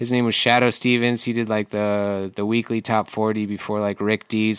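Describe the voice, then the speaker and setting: An American accent from a man talking fairly quickly. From US Midwest (Michigan). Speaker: artist and muralist. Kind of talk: casual interview chat.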